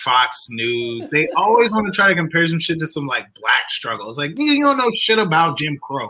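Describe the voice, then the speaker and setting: With an American accent, a man speaks at a high pitch and a moderate pace, hardly pausing, his pitch swinging very widely over noticeable background noise. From southern Illinois. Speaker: comedy promoter and venue manager. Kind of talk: casual chat.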